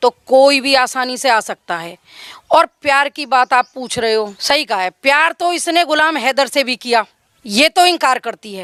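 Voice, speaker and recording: In a Haryanvi accent, a woman with a high pitch speaks in a raised, projected voice with lively intonation and a bright, sharp tone, on a very clean recording with a silent background and a dry, close sound with no echo. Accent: Haryanvi tinge in speech. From Haryana, India. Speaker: villager interviewed by reporter. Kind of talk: street interview opinion.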